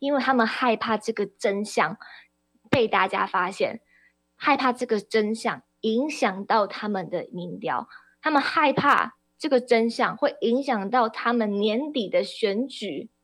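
Over music in the background, a woman talks very slowly in a fairly high voice with ordinary pitch variation. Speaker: radio host and party spokesperson. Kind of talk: political talk radio commentary. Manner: impassioned.

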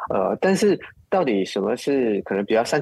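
Very wide pitch swings from a man at a moderate pace, dry and close with no echo. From Malaysia (Muar). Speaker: film director. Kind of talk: interview. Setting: remote call.

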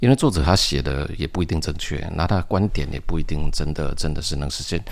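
Talking very fast, a man shows ordinary pitch variation while noticeable background noise carries on. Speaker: science fiction writer and engineer. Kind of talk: interview.

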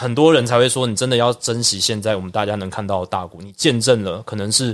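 This speaker talks at a fairly quick pace with a Taiwanese accent. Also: man. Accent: Taiwanese Mandarin. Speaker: baseball broadcaster. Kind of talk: casual interview.

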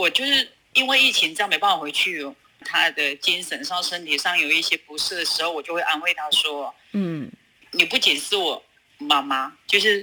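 Lively intonation from a woman at a moderate pace, with noticeable noise in the background. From China, Sichuan (Luzhou). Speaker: food business owner. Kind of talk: interview.

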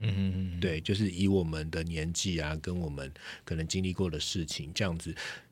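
A man's very deep, low voice moves at a moderate pace with fairly even intonation. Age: middle-aged. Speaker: podcast co-host, former tech journalist. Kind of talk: casual chat. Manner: many filler words.

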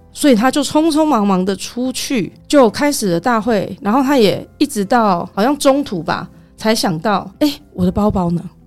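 Over music in the background, a woman with a fairly high pitch speaks at a moderate pace with lively intonation and hardly any pauses. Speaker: tour leader for Japanese groups. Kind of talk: casual chat.

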